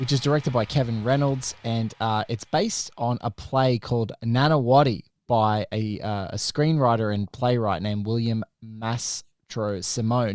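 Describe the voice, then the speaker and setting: A man with an Australian accent talks at a moderate pace and a medium pitch. His pitch varies in an ordinary way, in a very clean recording with a silent background. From Australia, Sydney. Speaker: film podcast host. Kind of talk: casual chat.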